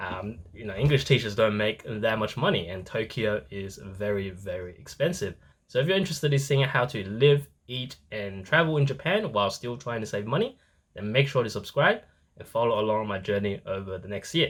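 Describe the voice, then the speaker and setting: Speaking at a fairly quick pace, a man with a somewhat breathy voice uses lively intonation and big swings in loudness, on a very clean recording with a silent background. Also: medium pitch for a man. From moved to Australia as a child, born elsewhere. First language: not English. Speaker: travel vlogger, actuary. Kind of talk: vlog.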